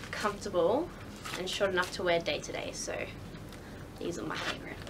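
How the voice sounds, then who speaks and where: With noticeable background noise behind her, a woman speaks at medium pitch with fairly even intonation. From Australia. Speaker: shoe reviewer. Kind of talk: casual product review to camera.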